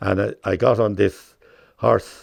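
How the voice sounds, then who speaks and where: A man talks with a southeast Irish accent. There is vocal fry in his voice. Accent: rural southeast Irish. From Ireland, County Wexford. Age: 80s+. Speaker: horse show judge and farmer. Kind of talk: casual reminiscence interview. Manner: halting.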